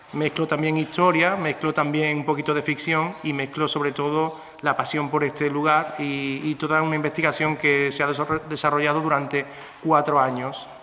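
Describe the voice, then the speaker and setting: Over noticeable background noise, a man talks at a moderate pace in a fairly high pitch with monotone, flat intonation. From Andalusia, Spain (Córdoba/Seville area). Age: 30s. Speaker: novelist and schoolteacher. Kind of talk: book presentation talk.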